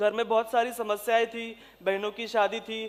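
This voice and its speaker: The speaker is a man. His pitch is high. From Maharashtra, India (Jalna district, rural). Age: 20s. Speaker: civil servant. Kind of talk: motivational speech. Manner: hesitant fillers.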